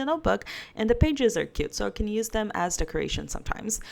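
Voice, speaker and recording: Speaking in a fairly high pitch, a woman talks with a non-native accent. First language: not English. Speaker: book vlogger. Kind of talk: casual chat.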